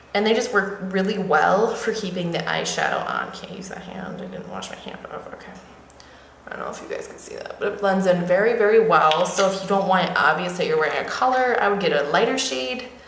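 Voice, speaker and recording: A woman talks at a fairly quick pace with big swings in loudness, amid noticeable background noise and audible room echo. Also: medium pitch for a woman, ordinary pitch variation. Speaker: beauty vlogger. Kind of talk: makeup tutorial. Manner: fast; casual, with fillers.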